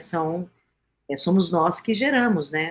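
This woman's voice sits fairly low in pitch. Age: 50s. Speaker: communication and peace speaker. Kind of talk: radio interview.

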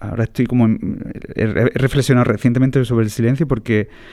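Speaking in an ordinary speaking voice, a man keeps a medium pitch and fairly even intonation. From Andalusia, Jaén province. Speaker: classical guitarist. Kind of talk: casual interview chat. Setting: theatre press room.

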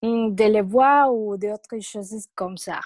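Fairly high-pitched woman's voice, fairly even in intonation, with a dry, close sound and no echo. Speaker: medical student. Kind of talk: panel discussion.

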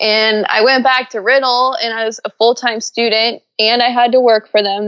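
A woman with a plain, everyday voice and an American accent, fairly high in pitch, at a moderate pace with fairly even intonation and hardly any pauses. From Orlando, Florida, US. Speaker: aviation sales director and demo pilot. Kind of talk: casual interview chat.

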